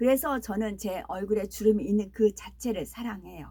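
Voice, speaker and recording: This woman talks at a moderate pace in a fairly high voice with a dark, mellow tone, lively intonation and vocal fry. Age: 60s. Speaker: preacher. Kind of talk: sermon; casual aside.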